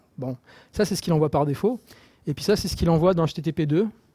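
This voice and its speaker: The man's fairly high voice has a dark, mellow tone and a dry, close sound with no echo. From Marseille, southern France. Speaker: software developer. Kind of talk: technical talk. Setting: stage with audience, microphone. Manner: halting, many repetitions.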